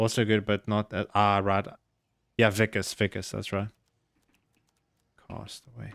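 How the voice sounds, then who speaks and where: A man with a South African accent, fairly low-pitched with vocal fry, fairly slow with long, frequent pauses, monotone and flat in intonation, with big swings in loudness, dry and close with no echo on a very clean recording with a silent background. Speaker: video game streamer. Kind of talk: casual live-stream chat while gaming.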